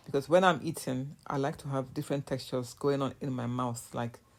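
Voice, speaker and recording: A woman with a Nigerian accent and a very deep, low pitch. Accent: Nigerian (Yoruba) English. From Nigeria, southwest (Yoruba). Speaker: cooking vlogger. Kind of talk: casual voiceover narration of cooking vlog. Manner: casual, halting with fillers.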